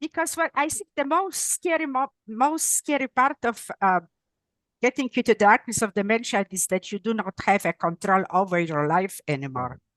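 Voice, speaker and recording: A woman's fairly high voice with very wide pitch swings, a non-native accent, moderate pace and a quiet background. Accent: noticeable non-native. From Poland. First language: Polish. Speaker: neuropsychologist and author. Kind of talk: interview. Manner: halting, self-correcting.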